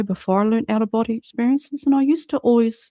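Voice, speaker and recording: A woman speaks very fast in a dark, mellow tone, the sound dry and close with no echo and a quiet background. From New Zealand. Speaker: channel and empath, out-of-body experience teacher. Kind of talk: monologue about personal experiences.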